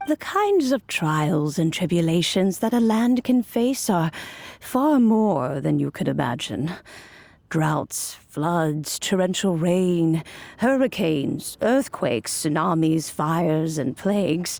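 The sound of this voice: Speaking slowly in a put-on character voice, a woman has a fairly low pitch, a slightly mellow tone, vocal fry and lively intonation.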